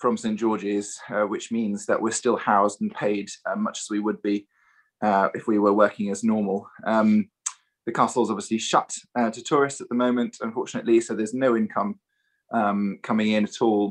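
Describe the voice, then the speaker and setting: A man with a British accent, medium pitch, monotone, flat intonation and a moderate pace. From Germany (Munich), British parents. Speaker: choral singer. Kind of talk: casual introduction on video. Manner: hesitant, many fillers.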